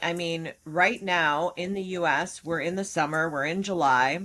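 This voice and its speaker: The speaker has a Midwestern US accent. The recording is very clean, with a silent background. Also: woman. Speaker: podcast co-host and business owner. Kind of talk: casual podcast discussion.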